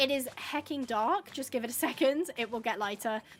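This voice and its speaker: A woman with an English accent, an animated tone and ordinary pitch variation. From England. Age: 20s. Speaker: gaming livestreamer. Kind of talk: casual chat. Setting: livestream.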